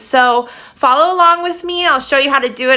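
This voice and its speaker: A woman's voice with ordinary pitch variation. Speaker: home cook vlogger. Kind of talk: tutorial. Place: kitchen. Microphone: phone near.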